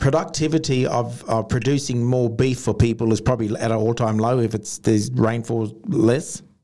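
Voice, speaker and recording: A man with an Australian accent, medium pitch and a dark, mellow tone, at a moderate pace. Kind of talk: casual chat.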